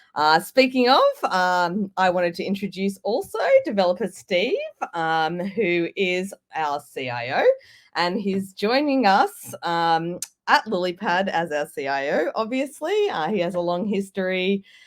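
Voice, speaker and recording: In an Australian accent, a woman speaks with lively intonation. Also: medium pitch for a woman, fairly slow pace. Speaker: tech startup presenter. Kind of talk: workshop presentation. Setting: pre-recorded video.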